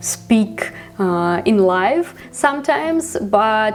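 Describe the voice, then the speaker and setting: In a Ukrainian accent, a woman speaks at a medium pitch with lively intonation. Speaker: vlogger. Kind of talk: vlog monologue. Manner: halting, many fillers.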